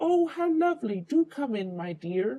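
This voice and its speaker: A croaky, put-on character voice moves at a moderate pace with very wide pitch swings. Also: man. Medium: read story. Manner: sly, fake sweetness.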